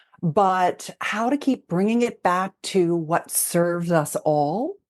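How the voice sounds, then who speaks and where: A woman speaks at a medium pitch and a very slow pace, with lively intonation and very even loudness. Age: 60s. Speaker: intimacy expert. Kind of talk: interview. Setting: podcast. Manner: animated.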